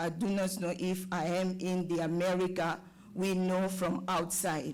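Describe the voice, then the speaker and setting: The speaker has a French accent and talks at a fairly slow pace. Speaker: parent, public commenter. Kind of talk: public comment at school board meeting. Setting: board meeting with audience.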